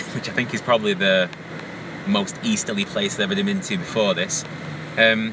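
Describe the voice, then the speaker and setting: A man with a fairly low pitch talks at a moderate pace with fairly even intonation and long, frequent pauses. Background noise is noticeable throughout. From northern England, Wigan. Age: 30s. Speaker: vlogger. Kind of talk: casual vlog while driving. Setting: in a car. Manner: hesitant, many fillers.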